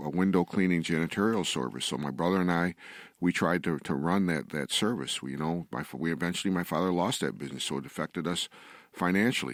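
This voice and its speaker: A man's very deep, low voice with vocal fry and an American accent, very fast with ordinary pitch variation, in a very clean recording with a silent background. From western New York, Olean. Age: 60s. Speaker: attorney. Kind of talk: radio interview, personal testimony. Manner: halting, many fillers and repetitions.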